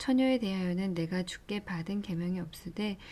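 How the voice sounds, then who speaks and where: A soft-spoken woman with a medium pitch and a dark, mellow tone sounds somewhat breathy, talking at a moderate pace with ordinary pitch variation. The recording is very clean, with a silent background. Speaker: bible reader. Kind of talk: reading aloud.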